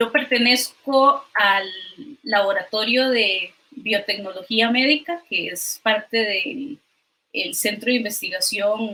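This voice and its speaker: The voice has a Costa Rican accent and ordinary pitch variation. It moves at a very slow pace. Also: woman, fairly high pitch for a woman. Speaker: physician and doctoral researcher. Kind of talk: online science talk. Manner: hesitant, many fillers.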